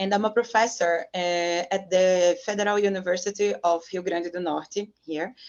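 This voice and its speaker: Hardly any pauses break this fairly even delivery, spoken with a Brazilian Portuguese accent. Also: woman, medium pitch for a woman, moderate pace. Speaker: professor. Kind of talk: interview. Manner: halting.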